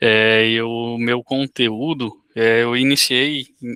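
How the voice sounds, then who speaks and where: With a northeastern Brazilian accent, a man at medium pitch speaks in a bright, sharp tone, captured with a dry, close sound with no echo. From Rio Grande do Norte, northeast Brazil. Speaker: cordel poet. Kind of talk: self-introduction.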